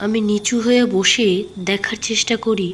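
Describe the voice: Fairly even intonation and a moderate pace from a woman. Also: medium pitch for a woman.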